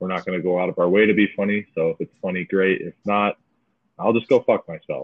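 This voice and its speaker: With a Midwestern American accent, a man rattles off words at a very fast pace in a fairly low, monotone voice with flat intonation. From Michigan, US. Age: 20s. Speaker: podcast host, minor league baseball player. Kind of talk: casual chat. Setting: remote recording.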